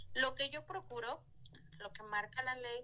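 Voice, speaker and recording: The voice here is a woman's. It has a bright, sharp tone. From Mexico, Hidalgo. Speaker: judge. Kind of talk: interview.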